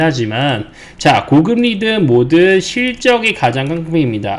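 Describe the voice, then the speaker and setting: Noticeable noise sits behind this man's voice. His pitch swings very widely. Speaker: stock market commentator. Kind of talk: market commentary broadcast.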